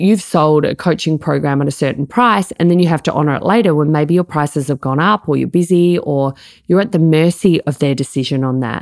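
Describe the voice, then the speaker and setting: A woman with an Australian accent, very deep and low in pitch, at a fairly quick pace with hardly any pauses, ordinary pitch variation, and a dry, close sound with no echo. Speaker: life coaching business coach, podcast host. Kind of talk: solo podcast tutorial.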